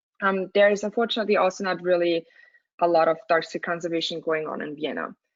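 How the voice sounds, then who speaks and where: Talking at a very fast pace with an Austrian accent, a woman uses a fairly low pitch and fairly even intonation. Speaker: student and dark sky coordinator. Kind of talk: webinar presentation. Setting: webinar. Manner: halting with fillers.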